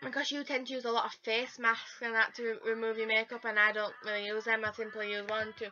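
A woman talks at a fairly quick pace. Faint music plays in the background. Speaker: beauty vlogger. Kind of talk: casual vlog chat. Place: home room. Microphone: phone near.

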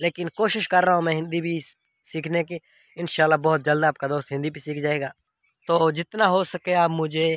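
A man has a plain, everyday voice, fairly high in pitch with fairly even intonation and a fairly slow pace. The sound is dry with no echo, and the background is quiet. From Pakistan. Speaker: vlogger. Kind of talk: casual vlog. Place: farm machine. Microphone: phone near.

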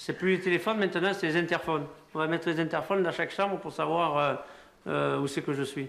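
Speaking with fairly even intonation, a man uses a high pitch at a fairly quick pace. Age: 40s. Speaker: son in a documentary. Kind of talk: casual chat. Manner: halting. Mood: exasperated, complaining about mother.

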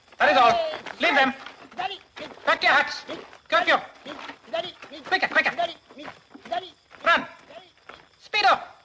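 Putting on a character voice, a man talks slowly at an extremely high pitch with a bright, sharp tone, ordinary pitch variation and long, frequent pauses.

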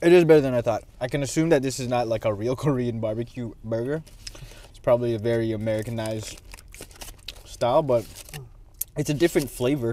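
A man talks at a very fast pace with ordinary pitch variation and big swings in loudness, in a dry sound with no echo. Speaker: food vlogger. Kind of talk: casual vlog chat, food review. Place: car. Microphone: lapel.

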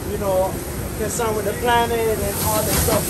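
Loud background noise sits behind a man talking at a fairly quick pace. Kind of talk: casual interview while cooking. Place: kitchen. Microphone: phone near.

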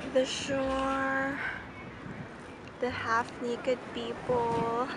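A woman speaks at a very slow pace. Loud background noise runs beneath a dry sound with no echo. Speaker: travel vlogger. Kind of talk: casual vlog chat. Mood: relaxed, cheerful. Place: beach. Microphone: phone near.

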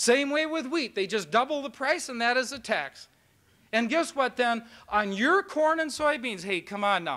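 Against a quiet background, a man with an American accent speaks at a moderate pace in a raised, projected voice, bright and sharp, with lively intonation. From Minnesota. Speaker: university chancellor. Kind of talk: speech. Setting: stage with audience. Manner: animated. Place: hall. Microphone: old recording.

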